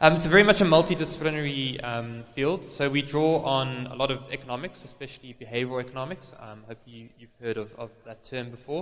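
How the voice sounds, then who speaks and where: Talking very fast with hardly any pauses, a man of medium pitch shows ordinary pitch variation and big swings in loudness over noticeable background noise. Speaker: marketing consultant and business owner. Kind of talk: conference presentation. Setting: stage with audience. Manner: hesitant, many fillers.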